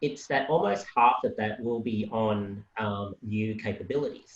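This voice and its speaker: Fairly low-pitched, somewhat breathy man with an Australian accent and fairly even intonation. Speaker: policy analyst. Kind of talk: panel discussion.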